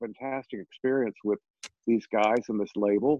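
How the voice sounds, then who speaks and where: A man with a plain, everyday voice, a moderate pace and ordinary pitch variation. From Texas (Sugar Land, near Houston). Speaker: jazz pianist and singer. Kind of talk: interview.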